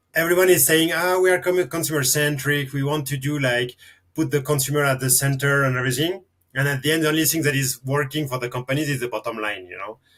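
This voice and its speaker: A man with a French accent, fairly high-pitched, at a very fast pace. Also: ordinary pitch variation, very clean recording, silent background. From France. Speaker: marketing consultant. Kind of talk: podcast interview.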